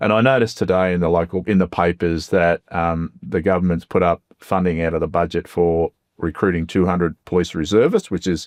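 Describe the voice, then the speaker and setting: Dry and close with no echo, a man's very deep, low voice with an Australian accent moves at a fairly quick pace with ordinary pitch variation. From Melbourne's west, Australia. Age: 60s. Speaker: member of parliament. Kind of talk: interview. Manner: hesitant, many fillers.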